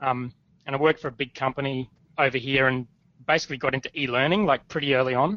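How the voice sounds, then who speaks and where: Speaking very fast in an Australian accent, a man holds a medium pitch with fairly even intonation. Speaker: startup founder. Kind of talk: interview. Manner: casual.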